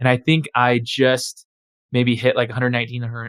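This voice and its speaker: Here a man speaks at medium pitch and a moderate pace. His intonation is fairly even, in a dry, close sound with no echo. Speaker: podcast host. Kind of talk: casual interview conversation. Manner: uses many ums and ahs.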